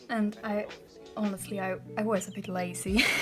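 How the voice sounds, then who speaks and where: A woman speaks with a non-native accent at a fairly slow pace. Music plays in the background. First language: not English. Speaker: bullet journal hobbyist. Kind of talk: casual talk to camera, journal flip-through. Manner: hesitant, many fillers.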